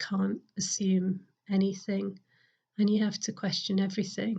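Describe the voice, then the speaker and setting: This woman speaks at a fairly slow pace with a medium pitch. Her intonation is monotone and flat. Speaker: parish priest. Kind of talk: sermon. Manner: hesitant, many fillers.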